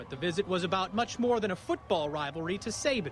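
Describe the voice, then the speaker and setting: Noticeable background noise under very fast talk full of very wide pitch swings. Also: man. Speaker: sports anchor and reporter. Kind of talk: TV sports news anchor delivery.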